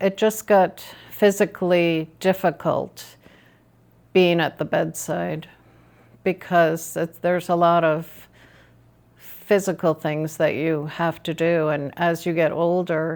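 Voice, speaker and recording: Her intonation stays fairly even as the woman speaks at a very slow pace. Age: 70s. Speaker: retired nurse, lifestyle vlogger. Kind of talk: personal story vlog. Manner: conversational, slightly halting.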